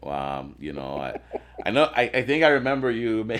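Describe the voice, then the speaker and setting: A man talks with a Spanish accent and very wide pitch swings. Background noise is noticeable. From Venezuela, moved to US around age 10-11. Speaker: sales executive. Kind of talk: casual chat. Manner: halting, many repetitions and fillers.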